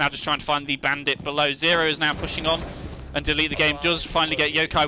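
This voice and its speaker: There is noticeable background noise as a man with a fairly high voice talks very fast. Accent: British. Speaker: esports caster. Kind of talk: live commentary. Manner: fast, flowing play-by-play.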